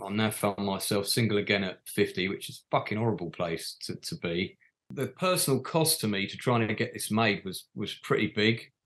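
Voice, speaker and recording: A man's unremarkable speaking voice, fairly low in pitch, with lively intonation, a moderate pace and hardly any pauses. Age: 50s. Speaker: playwright and film director. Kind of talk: interview.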